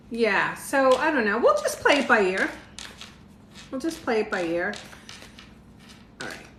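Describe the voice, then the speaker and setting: Lively intonation and big swings in loudness come at a moderate pace, broken by long, frequent pauses. There is audible room echo and noticeable background noise. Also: woman, high pitch for a woman. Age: 60s. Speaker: tarot reader. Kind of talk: live stream tarot reading. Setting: livestream with viewer comments. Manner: casual, chatty.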